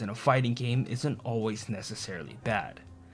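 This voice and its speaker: A man at a medium pitch and moderate pace, with music in the background. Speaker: gaming video essayist. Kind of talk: casual video essay narration.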